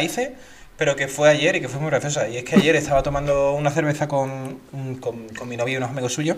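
With an Andalusian accent, a man talks at a fairly quick pace and a fairly high pitch over noticeable background noise. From Andalusia, Seville. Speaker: podcast co-host. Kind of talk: casual chat.

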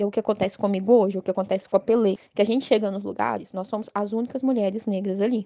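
Dark and mellow, a woman's medium-pitched voice runs at a very fast pace with hardly any pauses. Her intonation is fairly even, and the sound is dry and close with no echo. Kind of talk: interview.

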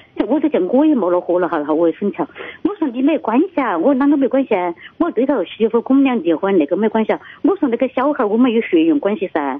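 A woman with a Sichuan-Chongqing accent, fairly high in pitch, very fast, with very wide pitch swings and noticeable background noise. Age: 60s. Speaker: caller to radio advice show. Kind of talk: phone-in call. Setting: phone call. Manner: halting.

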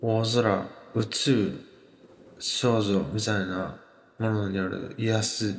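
Against audible room echo, a man with a fairly low pitch and fairly even intonation talks at a very slow pace, with long, frequent pauses. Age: 20s. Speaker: podcast host. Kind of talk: casual monologue on music and internet culture. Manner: hesitant, many fillers.

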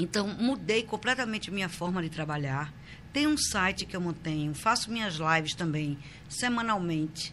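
With a normal speaking voice pitched fairly low, a woman talks at a moderate pace with lively intonation. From Recife, Brazil. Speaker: social columnist and journalist. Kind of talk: casual interview. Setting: studio, live stream.

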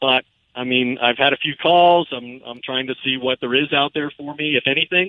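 With an unremarkable speaking voice, a man talks at a fairly quick pace in a fairly high pitch. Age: 50s. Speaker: sports reporter. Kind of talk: interview.

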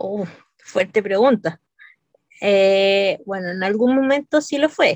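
A woman's medium-pitched voice at a very slow pace, with lively intonation and long, frequent pauses. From Santiago, Chile. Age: 30s. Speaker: knitter, wheelchair user. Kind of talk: casual interview.

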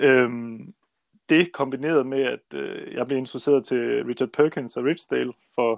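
With fairly even intonation and a medium pitch, a man speaks in a dry, close sound with no echo. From central Jutland, Denmark. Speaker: small-scale farmer. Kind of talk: interview. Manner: hesitant, many fillers.

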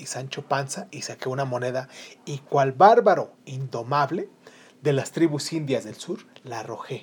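A natural voice reading aloud

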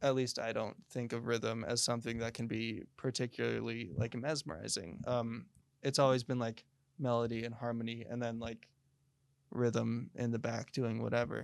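In a very clean recording with a silent background, a man with an American accent speaks in a plain, everyday voice at medium pitch, with fairly even intonation and a moderate pace. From Colorado. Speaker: indie musician. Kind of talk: casual interview. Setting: studio.

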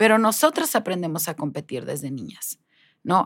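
Very wide pitch swings mark a woman's moderate-paced speech, captured in a very clean recording with a silent background. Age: 40s. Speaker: life coach. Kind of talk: interview.

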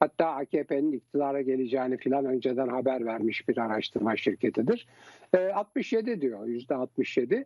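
A normal speaking voice from a man, medium in pitch, fairly slow, with ordinary pitch variation. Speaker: TV political commentator. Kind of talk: political talk show commentary. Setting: TV studio.

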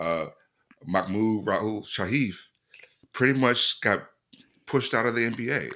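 A man with an American accent and a bright, sharp tone speaks at a moderate pace in a medium pitch with ordinary pitch variation and long, frequent pauses. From Mississippi, US South. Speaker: podcast host. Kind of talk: casual chat.

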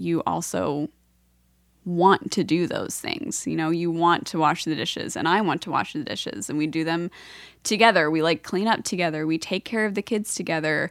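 The recording is very clean, with a silent background. A woman with an American accent talks at a moderate pace in a fairly low pitch with ordinary pitch variation. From Pennsylvania. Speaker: host's wife. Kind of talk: casual chat. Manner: quiet, half volume.

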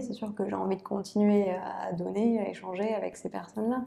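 A woman's medium-pitched voice at a moderate pace. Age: 30s. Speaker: aerospace engineer and watch illustrator. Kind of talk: casual interview. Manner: hesitant, with fillers.

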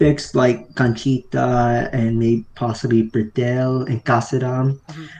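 With an American accent, a man in an unremarkable speaking voice talks at medium pitch and a fairly slow pace. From US, New Jersey. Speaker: football fan guest. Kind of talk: casual chat.

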